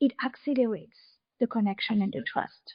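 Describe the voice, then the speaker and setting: This woman has a French accent and speaks fairly slowly. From France. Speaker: podcast consultant. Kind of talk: interview.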